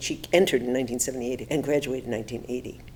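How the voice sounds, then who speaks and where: A woman's very deep, low voice in an American accent. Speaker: nurse, nursing educator. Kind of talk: interview answer. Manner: hesitant, many fillers.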